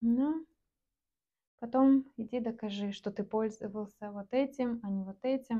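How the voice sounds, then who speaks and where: In a relaxed, dark, mellow tone, a woman speaks fairly slowly at a fairly high pitch with fairly even intonation and long, frequent pauses. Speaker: artist selling paintings online. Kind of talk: casual vlog narration while painting. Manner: relaxed, with hesitations and filler words.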